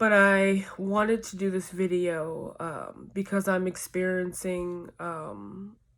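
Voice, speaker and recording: At a very slow pace, a woman speaks in a medium pitch with monotone, flat intonation. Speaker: vlogger. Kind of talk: personal confessional vlog. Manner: halting.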